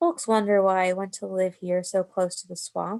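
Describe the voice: In a put-on character voice, a woman sounds soft-spoken and husky, medium in pitch, at a moderate pace.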